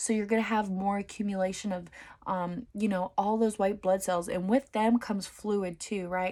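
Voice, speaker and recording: A woman speaks at a moderate pace in a medium-pitched, monotone, flat voice. The recording is very clean, with a silent background. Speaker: dental hygiene student. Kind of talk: study session tutorial.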